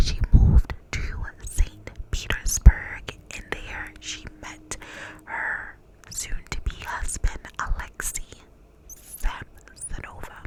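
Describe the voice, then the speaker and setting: Whispering with an American accent at a very slow pace, a woman's loudness swings widely over noticeable background noise. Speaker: ASMR creator. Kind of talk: whispered true crime narration. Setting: studio microphone. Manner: whispered, soft-spoken.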